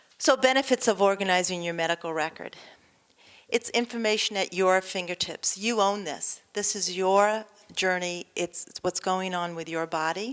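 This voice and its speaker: In a very clean recording with a silent background, a woman with an American accent talks at a moderate pace. She has a normal speaking voice, medium pitch and ordinary pitch variation. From New York. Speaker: nurse. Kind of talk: lecture. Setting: stage with audience.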